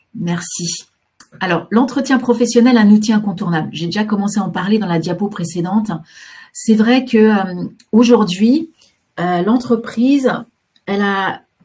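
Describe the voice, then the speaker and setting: This woman's voice sits at medium pitch and is somewhat breathy. Her pitch varies in an ordinary way. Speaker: career guidance counsellor. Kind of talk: webinar presentation. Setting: online webinar. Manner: fast; hesitant, many fillers.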